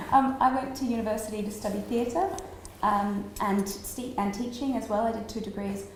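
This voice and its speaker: Amid noticeable background noise and audible room echo, a woman with an Australian accent speaks at a moderate pace and a fairly high pitch. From Australia, small country town. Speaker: street performer and acrobat. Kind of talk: interview at a festival talk. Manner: animated.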